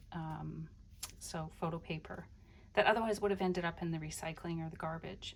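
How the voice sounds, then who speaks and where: Speaking at a moderate pace, a woman with a plain, everyday voice keeps a fairly low pitch and fairly even intonation. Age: 60s. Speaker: crafter / journaling video creator. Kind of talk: casual show-and-tell flip-through. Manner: relaxed, meandering with many fillers.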